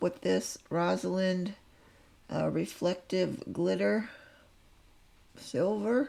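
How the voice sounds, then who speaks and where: Long, frequent pauses break up this woman's speech. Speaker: nail artist. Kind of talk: tutorial. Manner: casual, conversational.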